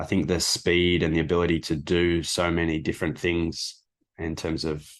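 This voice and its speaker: A man with an Australian accent speaks at a moderate pace in a very deep, low pitch. His intonation is monotone and flat, and the background is quiet. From Australia, Melbourne. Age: 30s. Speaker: sports coach. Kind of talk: interview.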